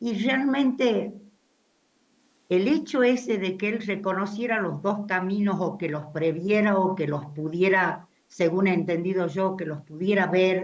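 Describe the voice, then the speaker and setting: Through audible room echo, a woman speaks very slowly with ordinary pitch variation. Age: 80s+. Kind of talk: audience comment at discussion. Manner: halting, repetitive fillers.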